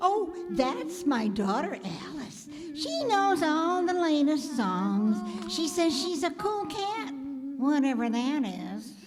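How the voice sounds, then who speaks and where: A woman performs a put-on character voice, high-pitched with very wide pitch swings, at a fairly slow pace. Clear background noise is heard. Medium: stage play.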